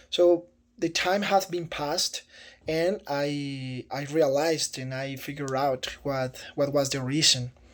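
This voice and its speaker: Fairly high for a man, this voice carries a Spanish accent and fairly even intonation at a fairly slow pace, on a very clean recording with a silent background. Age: 30s. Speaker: teaching job applicant. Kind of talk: video self-introduction for job application. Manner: halting, with repetitions and fillers.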